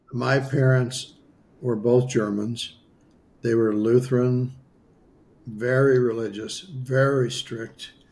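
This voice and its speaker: A somewhat breathy man with an American accent speaks very slowly at a medium pitch, monotone and flat, with long, frequent pauses. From US Midwest, western South Dakota. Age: 70s. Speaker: spiritual healer. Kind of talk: interview storytelling.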